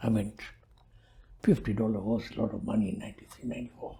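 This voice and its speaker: The speaker talks at a very fast pace. The voice is somewhat breathy. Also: woman. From Tanzania, Tanga. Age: 80s+. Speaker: community elder. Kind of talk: interview storytelling.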